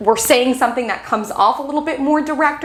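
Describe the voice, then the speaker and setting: A woman speaks in an animated tone with ordinary pitch variation. Audible room echo and noticeable background noise run through the recording. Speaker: astrologer. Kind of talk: weekly astrology forecast. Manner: fast.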